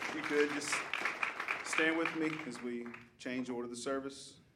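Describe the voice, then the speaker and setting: Fairly even in intonation and medium in pitch, a man speaks at a moderate pace while noticeable background noise carries on behind him. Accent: Southern US. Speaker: worship leader or pastor. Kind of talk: church service announcements and worship leading. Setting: church.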